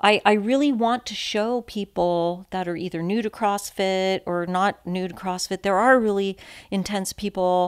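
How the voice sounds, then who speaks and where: A woman with an American accent and medium pitch talks at a moderate pace with fairly even intonation. The sound is dry and close with no echo. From San Francisco, California. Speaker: podcast guest, recovering addict, CrossFit athlete. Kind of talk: casual chat.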